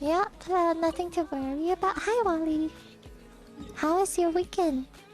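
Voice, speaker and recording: A woman puts on a bubbly character voice at an extremely high pitch, talking at a moderate pace. Music plays clearly in the background. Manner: cute, bubbly.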